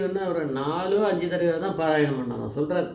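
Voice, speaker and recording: A man's pitch varies in an ordinary way, with noticeable noise in the background. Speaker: devotional storyteller. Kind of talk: devotional story narration.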